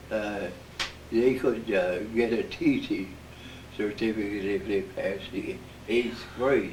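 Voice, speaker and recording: Speaking at a very slow pace with long, frequent pauses, a man uses a medium pitch, fairly even intonation and a somewhat breathy voice. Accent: American. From Midwestern United States. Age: 80s+. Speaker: war veteran. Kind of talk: interview answer.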